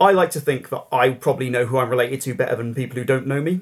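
A very fast male voice with an English accent, medium in pitch, with fairly even intonation, in a very clean recording with a silent background. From England. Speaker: political journalist. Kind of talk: interview.

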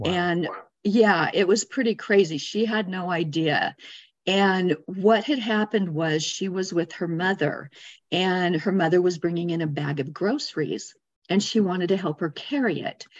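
With an American accent, a woman in an ordinary speaking voice talks at a moderate pace and medium pitch, with ordinary pitch variation, over a quiet background. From Arizona, US. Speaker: energy healer. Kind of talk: interview.

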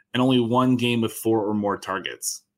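Using an unremarkable speaking voice, a man talks at a moderate pace with ordinary pitch variation. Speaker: fantasy football analyst. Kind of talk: casual sports analysis chat.

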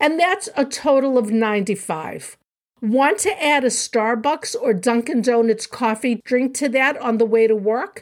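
In a very clean recording with a silent background, a woman with a high pitch talks at a fairly slow pace, with lively intonation and very even loudness. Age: 70s. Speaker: podcast host and diet author. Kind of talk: solo educational podcast.

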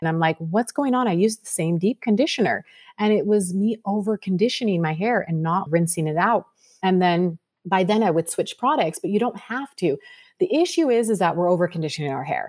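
A woman speaks in a normal speaking voice at a fairly quick pace, medium pitch and lively intonation. The recording is very clean and silent in the background, with a dry, close sound with no echo. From Sacramento, California. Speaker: beauty entrepreneur. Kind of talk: interview.

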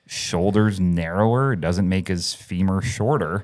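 Someone speaks with a Canadian accent in an unremarkable speaking voice. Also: man. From Canada. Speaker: chiropractor and podcast host. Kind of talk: casual chat. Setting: podcast studio.

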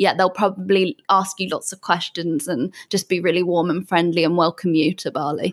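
Medium in pitch, a woman talks at a moderate pace in a southwest England accent. The sound is dry and close with no echo, the recording very clean over a silent background. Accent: British English, southwest England. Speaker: digital nomad. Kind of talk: casual interview chat.

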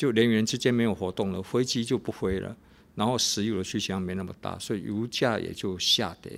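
Fairly quick and fairly even in intonation, a plain, everyday voice comes through in a very clean recording with a silent background. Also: man, fairly low pitch for a man. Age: 50s. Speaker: pastor and radio host. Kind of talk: radio devotional talk.

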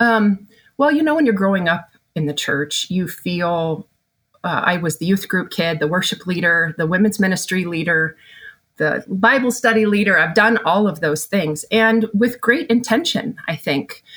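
A woman speaks at a medium pitch in a normal speaking voice. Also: moderate pace. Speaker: family therapist. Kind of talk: candid interview conversation.

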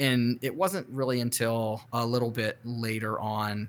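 With an American accent and an ordinary speaking voice, a man talks at a moderate pace with fairly even intonation. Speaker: podcast host, personal finance. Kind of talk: interview.

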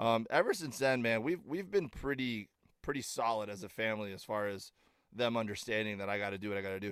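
A man speaks at a very fast pace. His medium pitch shows ordinary variation. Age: 40s. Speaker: comedian. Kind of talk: casual chat. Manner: halting.

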